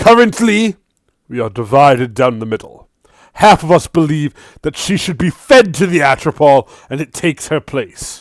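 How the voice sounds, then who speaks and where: Using a put-on character voice, a man with a fairly high pitch talks at a moderate pace. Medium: actual play. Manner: commanding.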